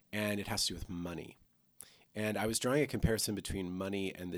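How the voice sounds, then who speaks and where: A man with an unremarkable speaking voice talks at a fairly low pitch and fairly quick pace. His intonation is fairly even, on a very clean recording with a silent background. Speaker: church podcast co-host. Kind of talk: casual chat.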